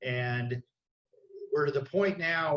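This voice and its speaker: An unremarkable speaking voice with an American accent. The pitch varies in an ordinary way. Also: man. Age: 60s. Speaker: city council candidate. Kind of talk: candidate forum self-introduction. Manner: many fillers, casual.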